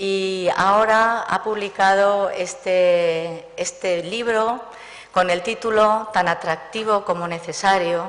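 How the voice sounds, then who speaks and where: There is noticeable background noise as a woman speaks at a medium pitch and a very slow pace. Her loudness stays very even. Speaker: librarian or archivist giving welcome. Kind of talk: welcome speech. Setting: book presentation with audience.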